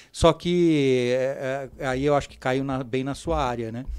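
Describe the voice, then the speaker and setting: With a quiet background behind him, the man's pitch varies in an ordinary way. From Brazil. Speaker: podiatry teacher. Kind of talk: interview. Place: studio. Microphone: studio mic.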